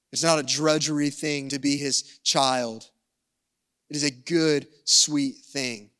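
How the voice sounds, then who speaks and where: In a Southern US accent, a man speaks with a fairly high pitch, a bright, sharp tone and monotone, flat intonation. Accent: Southern American. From US South. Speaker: pastor. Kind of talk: sermon. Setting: church service streamed online.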